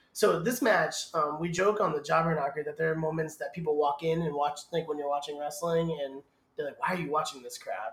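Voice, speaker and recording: Speaking at a fairly quick pace, a man with an American accent has fairly high pitch and ordinary pitch variation. It is a normal speaking voice. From Massachusetts. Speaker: wrestling podcaster. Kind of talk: casual watchalong chat.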